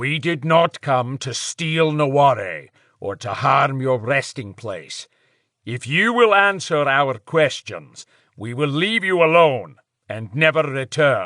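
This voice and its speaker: Fairly slow and fairly high-pitched, a put-on character voice from a man. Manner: calm, formal.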